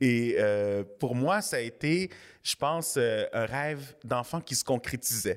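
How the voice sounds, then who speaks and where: At a very slow pace, a man speaks with a medium pitch and lively intonation. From Quebec (Montreal South Shore, Saint-Hubert). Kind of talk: interview.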